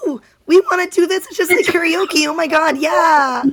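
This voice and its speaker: This clip has a put-on character voice from a man. He pushes it to an extremely high pitch. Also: moderate pace. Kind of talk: bubbly, casual, gushing. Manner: excited, enthusiastic.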